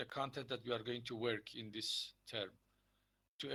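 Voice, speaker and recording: A bright, sharp tone marks the man's voice. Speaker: university lecturer. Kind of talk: lecture. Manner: slow; hesitant with fillers.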